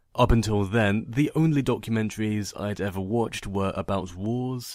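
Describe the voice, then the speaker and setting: With a normal speaking voice, a man talks at a fairly slow pace and a fairly low pitch with ordinary pitch variation, recorded very cleanly against a silent background. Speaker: fanfiction narrator. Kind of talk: casual vlog rant.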